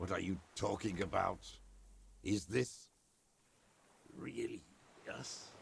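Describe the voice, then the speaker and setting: In a put-on character voice, a man speaks raspy and fairly low in pitch. His pace is fairly slow, with long, frequent pauses. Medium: video game. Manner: confused, impatient.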